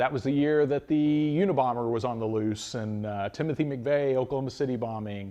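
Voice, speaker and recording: A man's medium-pitched voice at a fairly quick pace, with ordinary pitch variation and hardly any pauses. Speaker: mold supply business owner. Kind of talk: personal story telling. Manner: loud; halting.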